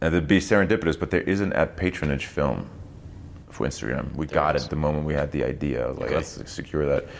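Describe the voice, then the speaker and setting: Speaking very fast, a man with a very deep, low pitch and vocal fry varies his pitch in an ordinary way. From East Germany. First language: German. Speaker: actor. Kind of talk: casual chat. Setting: studio.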